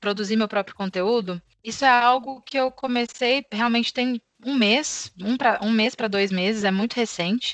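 A woman at a moderate pace with ordinary pitch variation, dry and close with no echo, over a quiet background. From Brazil, Belo Horizonte. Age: 20s. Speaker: account manager at a tech company. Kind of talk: interview.

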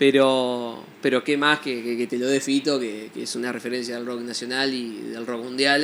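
Fairly slow, monotone, flat delivery from a man at a medium pitch. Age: 20s. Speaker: musician and music teacher. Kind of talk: interview. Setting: studio. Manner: hesitant, many fillers and repetitions.

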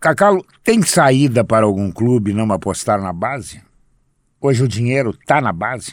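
A plain, everyday voice, moderately paced, with lively intonation, on a very clean recording with a silent background. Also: man, medium pitch for a man. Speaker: sports radio host. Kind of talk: casual interview.

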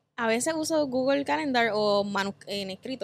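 At a moderate pace, a woman speaks in a normal speaking voice with fairly high pitch. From Puerto Rico, west (Cabo Rojo). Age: 20s. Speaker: travel content creator. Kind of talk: casual chat.

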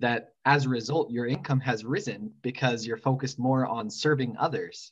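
A man speaks at a medium pitch and a moderate pace. He has a normal speaking voice with ordinary pitch variation. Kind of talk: interview host.

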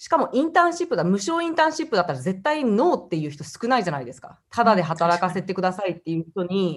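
A woman talks at a very fast pace with hardly any pauses. Her pitch swings very widely, and her loudness rises and falls a great deal. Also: medium pitch for a woman. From Japan (Hiroshima and Osaka), time in Australia. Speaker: YouTuber from a large family. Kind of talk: interview.

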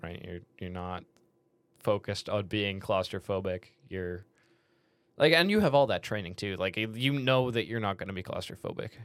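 A man with a Canadian accent, fairly low pitch, ordinary pitch variation and big swings in loudness, at a moderate pace with long, frequent pauses, on a very clean recording with a silent background. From Canada. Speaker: podcast co-host, engineering student. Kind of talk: casual chat.

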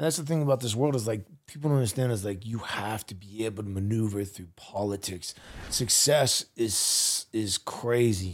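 On a very clean recording with a silent background, a man uses a normal speaking voice, fairly low in pitch, with ordinary pitch variation at a moderate pace. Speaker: podcast host. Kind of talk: casual interview chat. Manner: casual, slangy, friendly.

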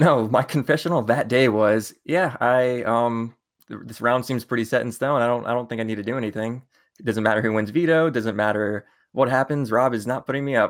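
A man talks at a fairly quick pace with ordinary pitch variation. He has a plain, everyday voice. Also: medium pitch for a man. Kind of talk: casual chat.

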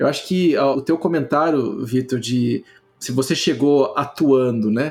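In a Carioca accent, a man talks at a moderate pace. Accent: carioca (Rio) Portuguese. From Rio de Janeiro, Brazil. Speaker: public health researcher and professor. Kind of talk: casual chat. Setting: video call.

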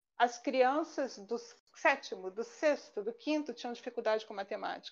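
Her high pitch shows ordinary variation as the woman speaks at a moderate pace. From Rio de Janeiro, Brazil. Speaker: statistician and university lecturer. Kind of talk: casual chat. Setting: live online stream.

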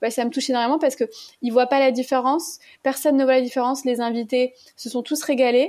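Very fast and high-pitched, a woman talks in a monotone, flat intonation. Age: 30s. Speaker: low-GI food content creator. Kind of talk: interview.

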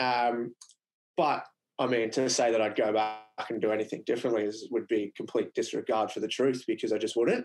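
With an Australian accent, a man is talking. His pace is fairly quick. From Queensland, Australia (Mackay). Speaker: business co-founder and former tradesman. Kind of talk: casual interview.

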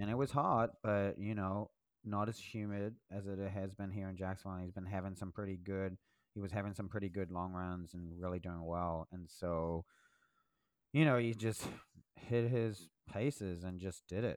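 A man speaks at a moderate pace with fairly even intonation and fairly low pitch. He has a normal speaking voice. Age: 40s. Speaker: podcast co-host, running coach. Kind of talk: casual chat.

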